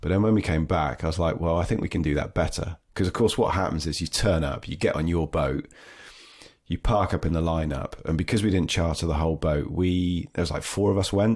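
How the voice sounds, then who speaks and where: At a fairly quick pace, a man with a British accent speaks in a very deep, low voice. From southwest England (Dorset, Devon). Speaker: surf trip organiser. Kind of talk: podcast interview. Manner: animated.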